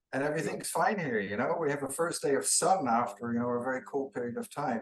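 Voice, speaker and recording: Lively in intonation, a man with a Dutch accent speaks at medium pitch and a fairly quick pace. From Netherlands, near Eindhoven. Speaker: international trade official. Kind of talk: interview. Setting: video call.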